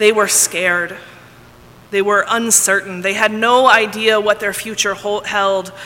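A woman speaks at a fairly slow pace with a monotone, flat intonation. Noticeable background noise runs underneath. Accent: American. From Texas. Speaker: pastor. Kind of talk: sermon.

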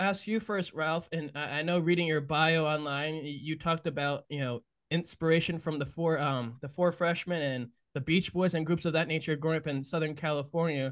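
Speaking in a plain, everyday voice, a man has a fairly high pitch and fairly even intonation. His pace is moderate, and the background is quiet. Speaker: podcast host. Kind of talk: interview conversation.

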